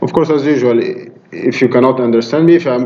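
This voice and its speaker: With an Arabic accent, a man speaks at medium pitch and a moderate pace with fairly even intonation, amid noticeable background noise and audible room echo. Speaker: university lecturer. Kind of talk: lecture. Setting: classroom. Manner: hesitant, many fillers.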